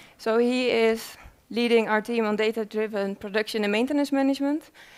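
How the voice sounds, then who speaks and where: A woman with a Dutch accent, fairly high in pitch, fairly even in intonation, at a fairly quick pace. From Netherlands. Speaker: researcher. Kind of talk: conference presentation. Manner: hesitant, many fillers.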